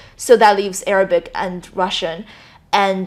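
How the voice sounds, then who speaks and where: A woman speaks with a Chinese accent. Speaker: gap-year language student. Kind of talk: interview.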